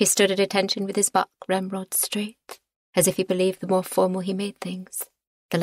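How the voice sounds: Over a quiet background, the voice reads in a natural way.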